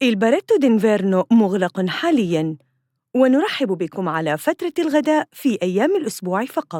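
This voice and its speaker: In a dry, close sound with no echo, a woman speaks at a very slow pace with a dark, mellow tone, a fairly high pitch and very wide pitch swings. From Saudi Arabia. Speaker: voice artist. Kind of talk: IVR phone system prompt.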